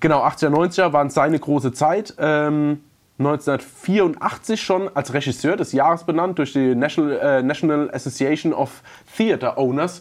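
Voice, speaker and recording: A man with an unremarkable speaking voice talks at a fairly slow pace and a fairly high pitch. His loudness stays very even, and his pitch varies in an ordinary way. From Palatinate, Germany. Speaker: podcast co-host. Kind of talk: casual chat.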